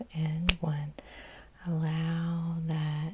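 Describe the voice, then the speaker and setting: A woman's very deep, low voice, somewhat breathy, gentle and dark, mellow in tone, with monotone, flat intonation. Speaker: hypnotherapist. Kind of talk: guided hypnosis session. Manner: soft-spoken, gentle.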